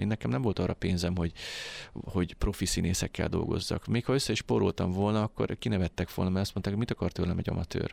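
Ordinary pitch variation marks a man's fairly quick speech. The background is silent on this very clean recording. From Hungary, Tisza region. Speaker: independent filmmaker. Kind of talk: radio interview. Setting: studio.

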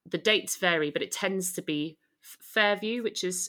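Her tone is bright and sharp as this woman speaks at a moderate pace with fairly even intonation. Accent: southern British. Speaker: photographer and co-founder of mums support group. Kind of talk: interview, casual conversational.

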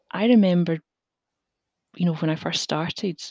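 Dark and mellow in tone, a woman speaks in a Glaswegian accent, the sound dry and close with no echo. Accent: Glaswegian Scottish. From Scotland, Glasgow. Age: 40s. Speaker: safety engineer. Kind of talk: interview. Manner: hesitant, many fillers.

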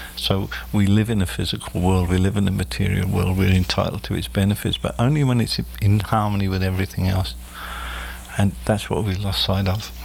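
A man's very deep, low voice with lively intonation at a fairly quick pace, over noticeable background noise. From Australia. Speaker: spiritual medium. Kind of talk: casual interview. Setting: studio.

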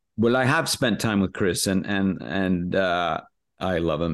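Against a quiet background, a man with an American accent speaks at a fairly low pitch. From US, Los Angeles area. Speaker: actor and impressionist. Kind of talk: interview chat.

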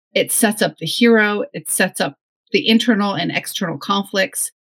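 A woman with an American accent has a somewhat breathy, fairly high-pitched voice. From northwest New Jersey. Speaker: novelist. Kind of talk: casual interview chat.

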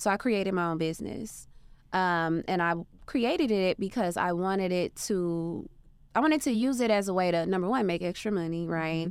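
A woman with an American accent speaks at a moderate pace in a normal speaking voice, her pitch medium with ordinary variation, on a very clean recording with a silent background. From Arkansas, US South. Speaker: entrepreneur. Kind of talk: interview.

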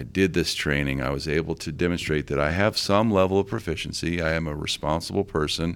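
Talking at a very fast pace with hardly any pauses, a man with a very deep, low pitch shows vocal fry. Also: ordinary pitch variation. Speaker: former FBI agent, firearms training director. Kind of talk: interview.

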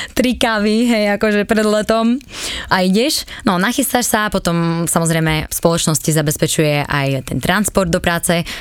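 There is noticeable background noise behind a woman speaking at medium pitch. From eastern Slovakia, Svidník area. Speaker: former flight attendant. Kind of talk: casual interview.

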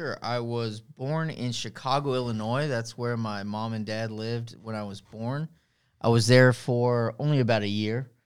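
On a very clean recording with a silent background, a man with an American accent speaks in an ordinary speaking voice at medium pitch, with fairly even intonation and a moderate pace. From Texas, Rio Grande Valley (Harlingen). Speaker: lawyer. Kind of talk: interview conversation.

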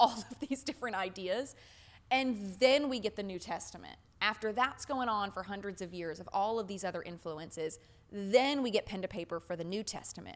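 With an American accent, a woman speaks at a moderate pace in an ordinary speaking voice, her intonation lively. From US South. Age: 20s. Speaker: podcast host, religion researcher. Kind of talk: casual chat.

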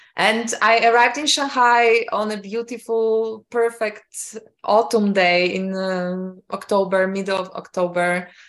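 A woman with a Polish accent talks at a fairly high pitch with ordinary pitch variation and hardly any pauses. The recording is very clean, with a silent background. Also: fairly slow pace. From Poland. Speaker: entrepreneur and mixologist. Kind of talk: interview.

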